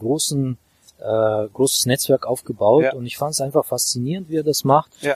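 With a dry, close sound and no echo, a man talks in a medium pitch with ordinary pitch variation. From Azerbaijan, Baku. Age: 30s. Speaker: real estate investor and coach. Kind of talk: interview. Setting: outdoors on a walk.

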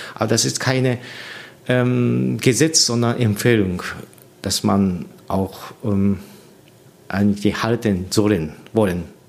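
A man speaks very slowly with a Japanese accent, his pitch fairly low and his intonation lively. Long pauses come often. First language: Japanese (speaking German). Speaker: orchestra conductor. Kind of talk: interview. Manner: halting, with many fillers.

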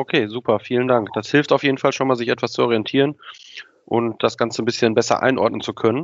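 A man with a medium pitch talks at a very fast pace. His intonation stays fairly even. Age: 30s. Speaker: podcast host, sales operations employee. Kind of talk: interview conversation.

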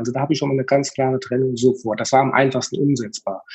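This is a man's voice. It sounds somewhat breathy. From central Hesse, Germany. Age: 40s. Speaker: funeral home owner. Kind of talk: interview. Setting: remote recording from home.

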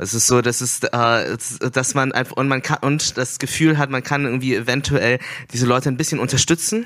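A fairly quick, medium-pitched male voice with fairly even intonation. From Germany. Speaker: festival curator and artist. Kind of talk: on-stage conversation. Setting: stage at a festival. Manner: halting, many fillers.

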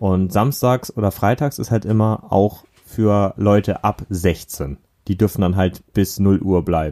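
A man's dark, mellow voice, fairly low in pitch, at a very slow pace with ordinary pitch variation and a dry, close sound with no echo. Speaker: podcast co-host. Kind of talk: casual chat.

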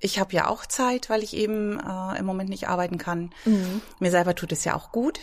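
A woman's medium-pitched voice at a moderate pace with ordinary pitch variation, recorded very cleanly against a silent background. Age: 50s. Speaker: fitness trainer. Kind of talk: casual interview. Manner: hesitant, many fillers.

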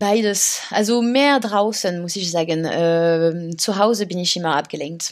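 With a French accent, a woman speaks at a fairly slow pace with hardly any pauses. Her pitch is fairly low and varies in an ordinary way. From France, Paris. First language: French (speaking German). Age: 30s. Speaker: author. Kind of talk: interview. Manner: halting, many fillers.

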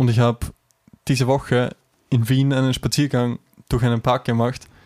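Someone speaks at a very slow pace in an Austrian accent. The intonation stays fairly even. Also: man, dry, close sound with no echo. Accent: Austrian dialect, some. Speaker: podcast co-host. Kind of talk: casual chat.

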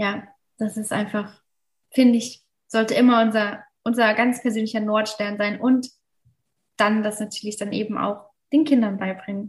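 Somewhat breathy, monotone, flat delivery at a moderate pace, broken by long, frequent pauses. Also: woman, fairly high pitch for a woman. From Mosel region, western Germany. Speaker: ayurveda hotel manager. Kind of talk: casual interview.

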